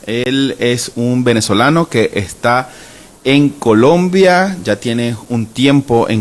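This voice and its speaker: It is a plain, everyday voice, and its pitch variation is ordinary. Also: man. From Venezuela. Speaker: podcast host. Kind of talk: podcast introduction.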